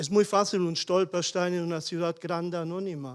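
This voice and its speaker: A high-pitched man with a German accent on a very clean recording with a silent background. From Germany, small village. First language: German (speaking Spanish). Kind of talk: panel discussion contribution. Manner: halting.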